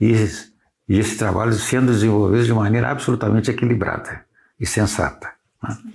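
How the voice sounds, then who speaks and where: Vocal fry comes through on a very clean recording with a silent background. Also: man. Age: 70s. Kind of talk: interview.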